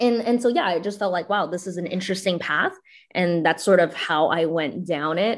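In a normal speaking voice with ordinary pitch variation, the speaker comes through on a very clean recording with a silent background. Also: woman. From Canada. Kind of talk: interview.

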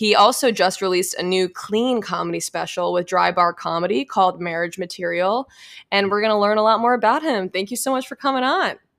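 A woman's ordinary speaking voice at medium pitch, fairly quick in pace with ordinary pitch variation, on a very clean recording with a silent background. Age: 20s. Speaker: podcast host and new comedian. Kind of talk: casual interview.

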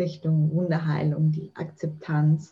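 Very slow in pace, a woman speaks in a fairly low pitch with a dark, mellow tone that is somewhat breathy. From Austria. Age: 30s. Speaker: mental trainer and author. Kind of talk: podcast interview.

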